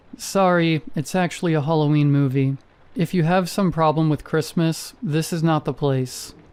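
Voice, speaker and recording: Using a put-on character voice, a man speaks at a fairly high pitch. His voice is shaky, and his pace is moderate. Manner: shaky, nervous.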